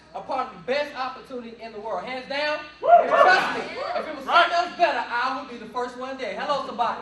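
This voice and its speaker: A man's raised, projected voice at an extremely high pitch, very fast, with an American accent, ordinary pitch variation and big swings in loudness, amid audible room echo and noticeable background noise. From Chicago, US. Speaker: motivational speaker. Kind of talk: sales pitch. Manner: loud, projecting.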